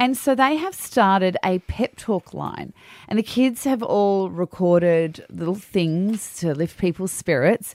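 In an Australian accent, a woman speaks at a medium pitch and a fairly slow pace with lively intonation, in a dry, close sound with no echo. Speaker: radio host. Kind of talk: casual chat. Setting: studio.

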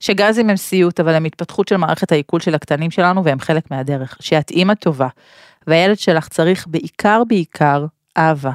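A woman with a normal speaking voice shows ordinary pitch variation and very even loudness. The very clean recording has a silent background and a dry, close sound with no echo. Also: fairly low pitch for a woman, moderate pace. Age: 40s. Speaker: podcast host. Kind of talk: solo monologue podcast. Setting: studio.

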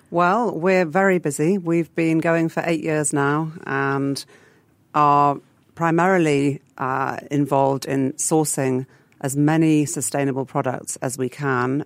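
Speaking fairly slowly with an English accent, a woman uses a very deep, low pitch and fairly even intonation. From England. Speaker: food business founder. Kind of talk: radio interview. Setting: radio studio.

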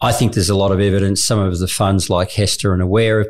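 This man talks at a fairly quick pace with a fairly low pitch and an Australian accent. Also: very clean recording, silent background. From Australia, regional Victoria (Morwell). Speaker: social enterprise leader and former investment banker. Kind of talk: interview.

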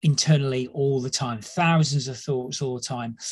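A man speaks in a somewhat breathy voice at a fairly high pitch. His pace is moderate. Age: 50s. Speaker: leadership psychologist. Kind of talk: casual chat.

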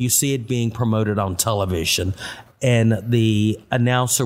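A man's normal speaking voice with an American accent, medium pitch, fairly even intonation and a moderate pace. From Austin, Texas. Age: 60s. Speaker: city tour guide. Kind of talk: interview.

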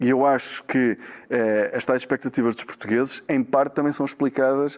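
Fairly even intonation carries this fairly quick delivery. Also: man. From Portugal, Braga (Minho). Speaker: economist, professor. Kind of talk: interview. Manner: halting, with many repetitions.

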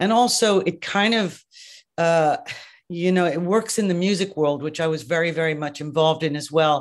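An Irish accent at a moderate pace against a quiet background. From Ireland. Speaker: makeup artist and educator. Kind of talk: casual interview. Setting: video call.

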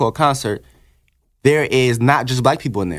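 Over a very clean recording with a silent background, a man talks in a normal speaking voice at a medium pitch. His pace is fairly quick, with ordinary pitch variation. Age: 20s. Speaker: rapper. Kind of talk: casual chat. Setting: studio.

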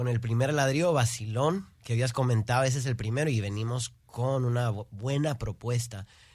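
A man speaks at a moderate pace with ordinary pitch variation, his voice somewhat breathy. His loudness stays very even on a very clean recording with a silent background. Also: medium pitch for a man. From Houston, Texas, Peruvian parents. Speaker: singer, musician. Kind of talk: interview.

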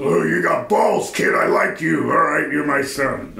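A man talks at a moderate pace in a put-on character voice, gruff and raspy. Background noise is clearly audible. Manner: gruff, approving.

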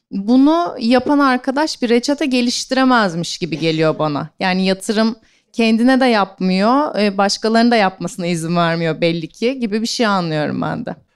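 Her pitch is fairly high and swings very widely. The woman talks at a moderate pace with hardly any pauses, on a very clean recording with a silent background. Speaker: event moderator. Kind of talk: live interview. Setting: stage with audience.

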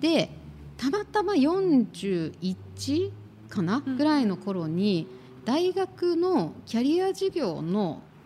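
A woman speaks very slowly with a fairly high pitch and very wide pitch swings. Noticeable background noise runs underneath. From Tokyo, Japan. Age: 50s. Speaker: career consultant and podcast co-host. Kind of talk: casual interview chat.

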